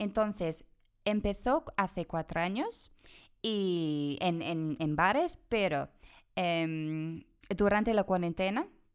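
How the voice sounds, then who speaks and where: On a very clean recording with a silent background, a woman with an English accent speaks very slowly at a medium pitch with ordinary pitch variation. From England, Bristol. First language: English (speaking Spanish). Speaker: language exchange organizer. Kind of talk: interview. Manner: halting.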